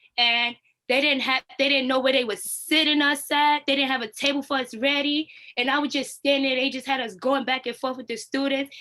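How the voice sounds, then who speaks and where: A woman's raised, projected voice, high in pitch and bright and sharp in tone, at a fairly quick pace with monotone, flat intonation. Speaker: youth program apprentice leader. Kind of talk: community talk over video call. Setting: video call.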